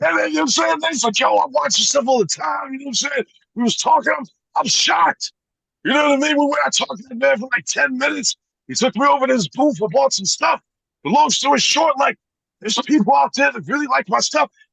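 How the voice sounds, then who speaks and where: A man speaks in a raised, projected voice at a very fast pace and extremely high pitch, with very wide pitch swings. His tone is bright and sharp, and the sound is dry and close with no echo. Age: 40s. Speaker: YouTuber making toy skits and reviews. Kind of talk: casual interview chat. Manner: animated.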